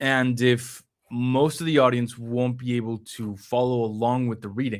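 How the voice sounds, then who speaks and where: Speaking with a Spanish accent, a man holds a medium pitch and fairly even intonation. The recording is very clean, with a silent background. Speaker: numerology reader and stream host. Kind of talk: live stream conversation. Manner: halting, many fillers.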